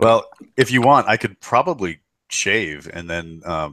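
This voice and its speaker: With an American accent, a man speaks at a fairly slow pace. His tone is bright and sharp. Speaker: podcast host. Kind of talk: casual chat.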